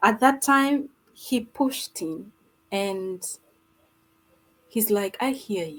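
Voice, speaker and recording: Fairly high-pitched and somewhat breathy, a woman speaks at a very slow pace with long, frequent pauses, lively intonation and big swings in loudness. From Uganda. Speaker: abuse survivor and advocate. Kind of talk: interview. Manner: soft-spoken.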